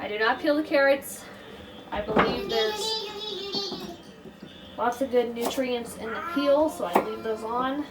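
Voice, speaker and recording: Music plays behind a woman. Her pitch is high. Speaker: homesteading vlogger. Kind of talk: cooking tutorial. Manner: casual.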